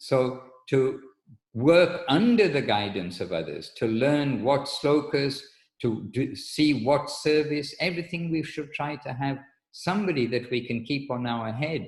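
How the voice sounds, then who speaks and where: A man speaks fairly slowly at a fairly high pitch, somewhat breathy, with lively intonation. Audible room echo is present. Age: 60s. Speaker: spiritual teacher. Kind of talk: religious lecture. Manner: halting.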